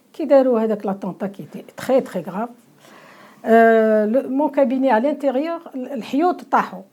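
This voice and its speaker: A woman speaks at a moderate pace in a high pitch with lively intonation and a dark, mellow tone. Her loudness swings widely. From Algeria. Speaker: lawyer and writer. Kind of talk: interview. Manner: halting, many repetitions and fillers.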